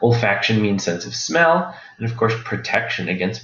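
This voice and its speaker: At a fairly slow pace, a man speaks with audible room echo and noticeable background noise. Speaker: college instructor. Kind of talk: lecture.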